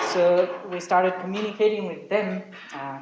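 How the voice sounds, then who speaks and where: The voice moves at a moderate pace amid noticeable background noise. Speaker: aid worker. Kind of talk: presentation. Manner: halting.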